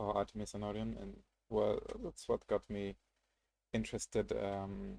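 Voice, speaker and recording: A man with a non-native accent at a moderate pace, with long, frequent pauses and a dry, close sound with no echo. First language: not English. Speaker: gaming streamer. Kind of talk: casual live-stream commentary. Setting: live stream. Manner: halting, many fillers and restarts.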